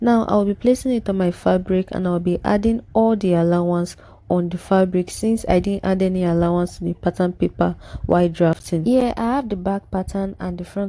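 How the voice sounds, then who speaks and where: Her fairly quick delivery pairs a medium pitch and a dark, mellow tone with fairly even intonation, the voice of a woman. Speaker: sewing tutorial creator. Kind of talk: tutorial. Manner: fast.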